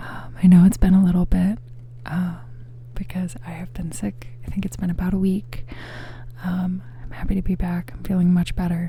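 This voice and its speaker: A soft-spoken voice at a moderate pace, with long, frequent pauses and noticeable background noise. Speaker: ASMR creator. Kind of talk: ASMR rambling talk to camera. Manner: soft-spoken, rambling.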